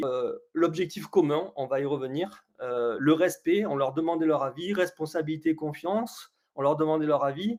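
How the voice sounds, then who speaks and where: A man speaks at a moderate pace. His fairly high pitch shows ordinary variation. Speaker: coach running a webinar. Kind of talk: live webinar presentation. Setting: online webinar. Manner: hesitant, many fillers.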